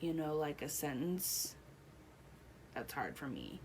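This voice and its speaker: Audible room echo hangs around the voice. The speaker is a woman. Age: adult. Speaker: stroke survivor sharing her story. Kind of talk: personal testimony vlog. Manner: halting, with repetitions and fillers.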